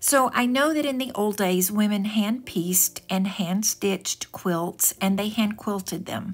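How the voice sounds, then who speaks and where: Speaking at a fairly slow pace, a woman has a plain, everyday voice of medium pitch with ordinary pitch variation. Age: 60s. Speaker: home decor vlogger. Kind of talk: home decor video narration.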